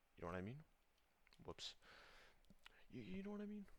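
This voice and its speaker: A man is whispering. He mumbles his words. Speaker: gaming vlogger. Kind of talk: casual rant. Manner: fast, mumbling. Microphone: poor audio.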